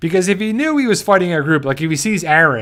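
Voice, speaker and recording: Animated in tone and lively in intonation, a man speaks in a New Jersey accent on a very clean recording with a silent background. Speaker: YouTube fan show host. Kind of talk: live stream fan discussion. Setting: live stream. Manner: halting.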